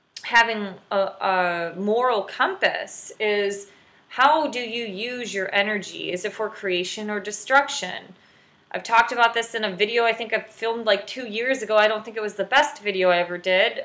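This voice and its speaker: A woman with a bright, sharp tone, ordinary pitch variation and a moderate pace. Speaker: spiritual wellness vlogger. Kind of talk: casual advice vlog talk. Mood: calm, reflective. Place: home room. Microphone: webcam.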